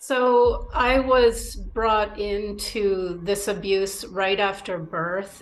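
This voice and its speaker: Noticeable background noise sits behind a woman speaking very slowly. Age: 50s. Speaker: abuse survivor. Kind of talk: testimony to camera.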